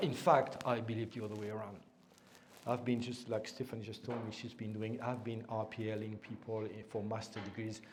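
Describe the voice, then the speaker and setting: In a room with audible echo, a man speaks in a somewhat breathy voice with monotone, flat intonation. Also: medium pitch for a man, fairly quick pace. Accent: French. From France. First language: French. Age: old. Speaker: invited lecturer on education policy. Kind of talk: lecture. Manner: hesitant, with many fillers and repetitions.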